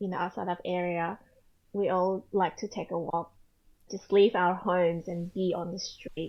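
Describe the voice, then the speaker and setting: A woman talks at medium pitch with an Australian accent. Her moderate pace carries monotone, flat intonation. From Australia (Sydney), earlier Indonesia. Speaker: photographer and author, mother. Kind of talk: casual interview.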